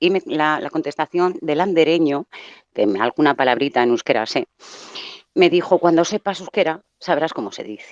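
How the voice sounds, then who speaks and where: A woman talks at a moderate pace with a fairly low pitch and lively intonation, in an ordinary speaking voice. The sound is dry and close, with no echo. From Basque Country, Bilbao. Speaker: caller. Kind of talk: testimony.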